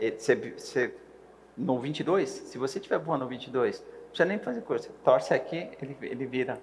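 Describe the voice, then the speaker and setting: A man is speaking. His loudness swings widely. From Brazil, Minas Gerais. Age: 60s. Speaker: helicopter pilot and flight instructor. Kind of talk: casual chat.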